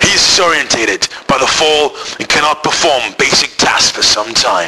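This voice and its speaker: A fair amount of background noise can be heard. Over it, the pitch varies in an ordinary way at an even, middling speed. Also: man, fairly high pitch for a man. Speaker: school IT teacher. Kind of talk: spoof nature documentary narration.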